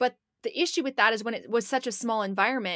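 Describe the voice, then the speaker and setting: A woman talks at a very fast pace. She has an American accent. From Portland, Oregon. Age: 20s. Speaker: podcast co-host. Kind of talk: casual chat. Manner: animated.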